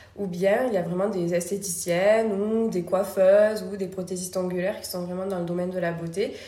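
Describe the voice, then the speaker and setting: Noticeable background noise and audible room echo surround a woman's medium-pitched voice. She speaks at a moderate pace in a monotone, flat intonation. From France, Toulouse. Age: 30s. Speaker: beauty studio founder and trainer. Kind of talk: interview conversation. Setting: in her beauty studio. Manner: soft-spoken and smiling.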